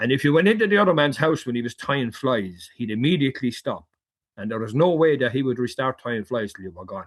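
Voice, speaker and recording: This man talks at a very fast pace with an Irish accent. His voice is medium in pitch, with lively intonation. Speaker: fly fisherman and hunter. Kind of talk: casual interview storytelling.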